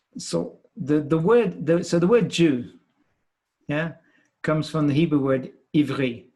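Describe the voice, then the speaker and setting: In a British accent, a man speaks fairly slowly with long, frequent pauses, a fairly high pitch, a dark, mellow tone and lively intonation. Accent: British accent, marked as foreign in France. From Britain. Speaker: scientist and professor. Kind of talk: podcast interview. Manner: halting, many repeated words.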